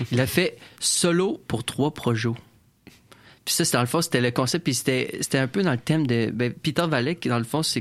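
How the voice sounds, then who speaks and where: A plain, everyday voice: a man at medium pitch with ordinary pitch variation. He keeps a moderate pace on a very clean recording with a silent background. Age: 20s. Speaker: community radio host. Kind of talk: casual radio interview.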